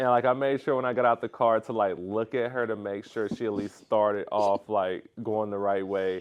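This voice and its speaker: Fairly even intonation from a man with an American accent, at a moderate pace with hardly any pauses. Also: fairly low pitch for a man. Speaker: professional basketball player. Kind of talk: podcast interview.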